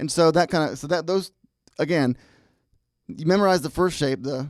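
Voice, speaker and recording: The speech moves at a moderate pace with ordinary pitch variation. The recording is very clean with a silent background. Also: man, fairly high pitch for a man. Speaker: guitar teacher. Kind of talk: tutorial. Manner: halting.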